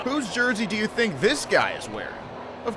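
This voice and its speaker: Pitch swings very widely over noticeable background noise. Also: man. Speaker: sports anchor and reporter. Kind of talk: TV sports feature narration.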